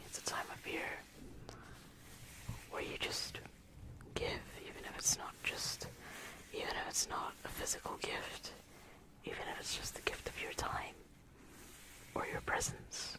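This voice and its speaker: Someone whispers in a relaxed tone at a fairly slow pace, leaving long, frequent pauses over noticeable background noise. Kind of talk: ASMR Christmas talk to camera. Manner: soft-spoken, relaxed.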